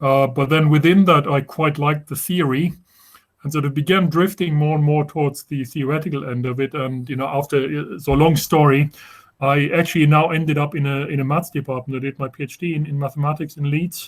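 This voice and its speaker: The voice is somewhat breathy, with a German accent. Its intonation stays fairly even. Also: man, fairly high pitch for a man, fairly quick pace. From Germany. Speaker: professor. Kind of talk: informal talk to students. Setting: video call. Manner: halting, many repetitions and fillers.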